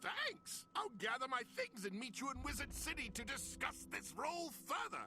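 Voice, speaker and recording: Someone performs a put-on character voice at a moderate pace. Music plays clearly in the background. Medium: video game. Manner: friendly, earnest.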